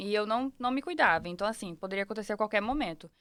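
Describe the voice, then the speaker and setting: The pitch of this woman is medium and varies in an ordinary way. She has a normal speaking voice. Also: very clean recording, silent background. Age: 20s. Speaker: podcast guest, mother. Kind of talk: casual interview.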